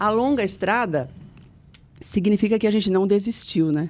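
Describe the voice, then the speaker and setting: A woman speaks with a dark, mellow tone. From Brazil, São Paulo metro area (Mauá). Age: 50s. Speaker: TV journalist. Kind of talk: interview testimony.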